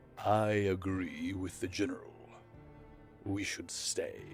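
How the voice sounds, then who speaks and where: Clear music plays in the background as a man puts on a character voice, fairly low in pitch and at a fairly slow pace. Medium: read story.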